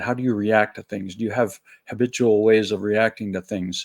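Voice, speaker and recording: An unremarkable speaking voice moves at a moderate pace, with a dry, close sound free of echo and a very clean recording over a silent background. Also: man. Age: 60s. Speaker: spiritual video blogger. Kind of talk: solo reflective monologue. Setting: at home, early morning. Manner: casual, conversational.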